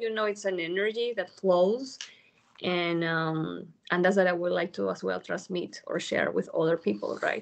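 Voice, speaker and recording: A woman speaks with a Peruvian accent. Her pitch is medium. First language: Spanish. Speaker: newly certified yoga teacher. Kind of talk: interview. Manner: halting, many fillers.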